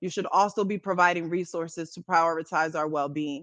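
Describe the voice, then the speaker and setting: The background stays quiet. A woman's pitch moves with ordinary variation. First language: Spanish. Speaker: anti-hunger advocate. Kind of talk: keynote speech. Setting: conference stage. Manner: formal.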